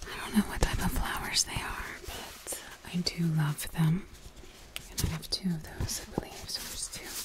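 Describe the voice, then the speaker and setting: A woman whispers at a moderate pace. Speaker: ASMR creator. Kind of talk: ASMR whisper talk to camera. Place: home room. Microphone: studio mic.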